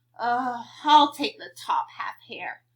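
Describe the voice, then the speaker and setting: A woman speaks in a put-on character voice pitched high. Her pitch swings very widely. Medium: read story. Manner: slow, drowsy.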